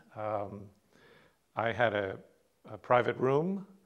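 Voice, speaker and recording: Very slowly, a man talks with an American accent. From United States. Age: 60s. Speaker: patient, retired museum director. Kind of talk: testimony. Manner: halting, many fillers.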